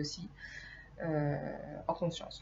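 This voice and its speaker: A somewhat breathy woman's voice carries audible room echo. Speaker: hypnotherapist. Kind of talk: informal video lecture. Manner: hesitant, many filler sounds.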